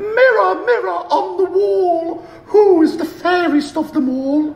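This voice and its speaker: A man puts on a character voice with extremely high pitch, delivered at a fairly slow pace. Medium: read story.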